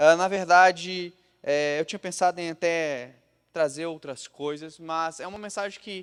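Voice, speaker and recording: On a very clean recording with a silent background, a man speaks in a plain, everyday voice at a fairly high pitch. He talks at a fairly slow pace with fairly even intonation. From Brazil, Minas Gerais (Juiz de Fora). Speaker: pastor. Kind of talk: sermon. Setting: church.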